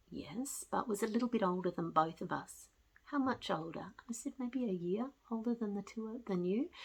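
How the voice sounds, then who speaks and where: With lively intonation and a somewhat breathy sound, a woman talks at a moderate pace and a fairly high pitch. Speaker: spiritual storyteller. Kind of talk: personal testimony. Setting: at home with cat. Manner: calm, reflective.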